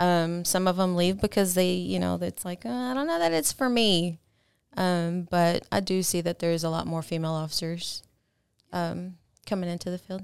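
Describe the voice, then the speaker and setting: In a very clean recording with a silent background, a woman speaks in a plain, everyday voice with an American accent, fairly low in pitch, at a moderate pace with ordinary pitch variation. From Texas. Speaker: police officer. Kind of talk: interview.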